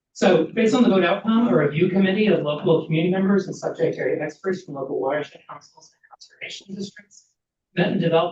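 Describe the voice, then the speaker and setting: A man with a high pitch, ordinary pitch variation, and a very fast pace. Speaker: government program staff presenter. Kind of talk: formal presentation.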